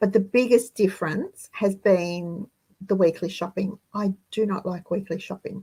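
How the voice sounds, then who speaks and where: A woman with an Australian accent speaks at a fairly slow pace in a dark, mellow, somewhat breathy tone. Her intonation is fairly even, and the sound is dry and close with no echo. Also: medium pitch for a woman. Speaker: frugal living channel host. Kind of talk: live stream monologue.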